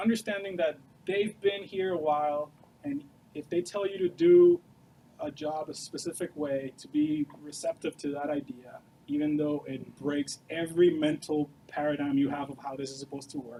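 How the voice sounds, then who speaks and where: At a moderate pace, a man with a fairly high pitch talks with ordinary pitch variation and big swings in loudness. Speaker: software developer and studio co-founder. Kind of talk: Q&A talk to students. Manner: casual, filler-heavy.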